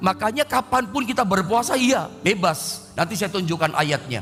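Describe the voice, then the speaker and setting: A man speaks at a moderate pace with lively intonation. Noticeable background noise runs underneath. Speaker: pastor. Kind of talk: sermon. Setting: online livestream.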